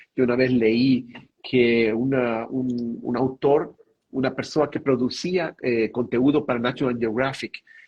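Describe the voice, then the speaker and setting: Speaking at a fairly slow pace, a man talks in a Spanish accent. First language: Spanish (speaking Portuguese). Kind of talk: spiritual talk on live stream. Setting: online live stream. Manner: halting, with fillers.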